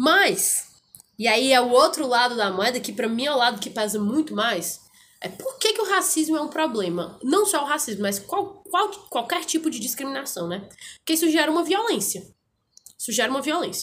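A woman speaks at a moderate pace in a high pitch, her voice making very wide pitch swings. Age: 20s. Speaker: law student and political blogger. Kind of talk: casual interview chat.

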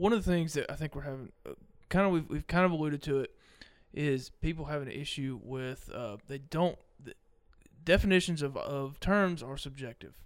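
A man in a Mississippi accent, fairly high in pitch, at a moderate pace with ordinary pitch variation and big swings in loudness. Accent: Mississippi Southern. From Mississippi, US South. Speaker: podcast guest, guitarist. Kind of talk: casual chat.

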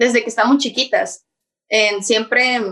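A woman's bright, sharp voice at a fairly slow pace, with fairly even intonation. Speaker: YouTuber. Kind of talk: casual chat.

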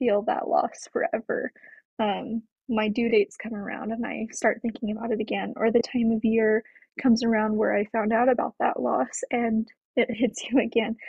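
A woman with an American accent speaks at a moderate pace. Hers is a plain, everyday voice, pitched fairly high. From Colorado. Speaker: podcast guest sharing miscarriage story. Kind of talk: interview testimony.

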